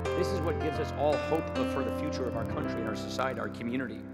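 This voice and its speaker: Over music in the background, a man talks at a fairly quick pace. His fairly low voice makes very wide pitch swings. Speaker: politician. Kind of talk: commencement speech. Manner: humorous, conversational.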